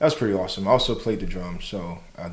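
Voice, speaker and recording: A man's voice carries audible room echo. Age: 30s. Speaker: podcast host. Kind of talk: casual chat.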